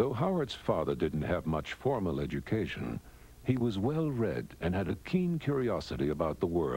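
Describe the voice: Just plain reading aloud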